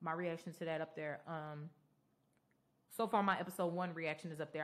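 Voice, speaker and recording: The speech comes at a very fast pace in a monotone, flat intonation. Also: woman. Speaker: podcast host and reactor. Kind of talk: casual solo podcast recap. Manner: loud.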